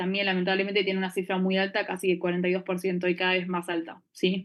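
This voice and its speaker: Talking very fast, a woman holds a medium pitch in a flat, monotone delivery. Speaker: anesthesiology resident teaching a class. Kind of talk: lecture.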